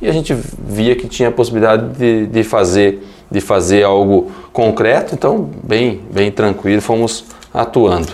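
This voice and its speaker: A man's ordinary speaking voice, pitched fairly low, at a moderate pace. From western Paraná, Brazil. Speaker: politician, deputy mayor. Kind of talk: radio interview.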